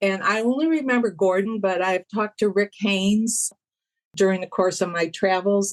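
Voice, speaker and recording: A woman with a Michigan accent speaks at a moderate pace in a medium pitch with ordinary variation. The sound is dry and close, with no echo. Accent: US Midwest (Michigan). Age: 70s. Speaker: music fan, podcast guest. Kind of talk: interview, personal storytelling.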